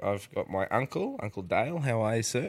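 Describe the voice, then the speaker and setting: Recorded very cleanly against a silent background, a man with an Australian accent speaks at a medium pitch. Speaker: podcast host. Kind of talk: casual interview.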